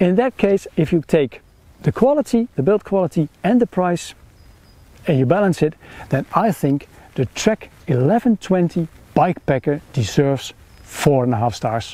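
Here a man speaks at a fairly high pitch, his tone dark and mellow. His pitch makes big swings up and down. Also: moderate pace.

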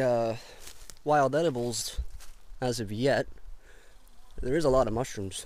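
Lively intonation in a dry sound with no echo. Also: man. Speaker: camping vlogger. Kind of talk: casual vlog chat. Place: forest. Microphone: phone near.

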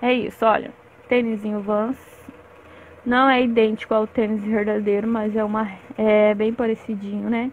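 Over light background noise, a woman speaks at a fairly high pitch in a monotone, flat intonation, with a dry sound with no echo. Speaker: crochet teacher. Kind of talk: tutorial. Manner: talkative, chatty. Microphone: phone near.

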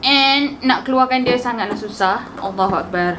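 A high-pitched woman at a fairly quick pace, ordinary pitch variation, light background noise. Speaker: youtuber. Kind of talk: casual unboxing talk to camera. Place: home room.

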